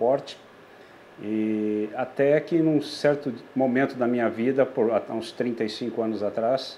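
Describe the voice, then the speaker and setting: A man talks with a medium-pitched voice. His pitch varies in an ordinary way. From southern Brazil (Rio Grande do Sul, Passo Fundo). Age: 60s. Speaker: typewriter mechanic and collector. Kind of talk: interview monologue about his craft and history. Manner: halting, many restarts and fillers.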